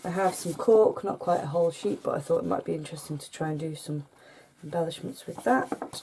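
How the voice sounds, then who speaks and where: In a British accent, a woman speaks at a fairly quick pace with a fairly low pitch and lively intonation, over noticeable background noise. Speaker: crafting YouTuber. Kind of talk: show-and-tell haul video. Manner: soft-spoken, can't speak up; hesitant with fillers.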